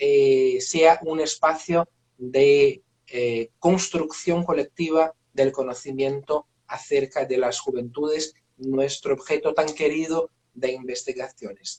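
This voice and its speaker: A man's fairly high voice with a Portuguese accent, very slow and fairly even in intonation, dry and close with no echo. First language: Portuguese (speaking Spanish). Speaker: professor, moderator. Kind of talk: live online talk introduction. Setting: video livestream. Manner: slow, halting with fillers.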